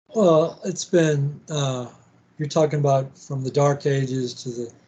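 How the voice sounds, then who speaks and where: Somewhat breathy and fairly slow, a man speaks with a dark, mellow tone and fairly even intonation. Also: fairly high pitch for a man. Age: 60s. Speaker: podcast host. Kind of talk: interview conversation. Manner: halting.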